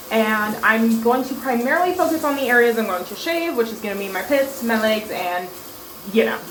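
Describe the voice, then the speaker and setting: With lively intonation and a fairly high pitch for a woman, a woman talks at a fairly quick pace amid noticeable background noise and audible room echo. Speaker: beauty vlogger. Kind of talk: casual vlog tutorial.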